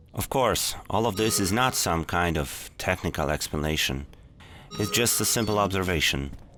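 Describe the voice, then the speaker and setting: Speaking at a moderate pace with a non-native accent, a man uses a very deep, low pitch, a bright, sharp tone, lively intonation, and very even loudness. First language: not English. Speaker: gaming tutorial youtuber. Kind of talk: tutorial.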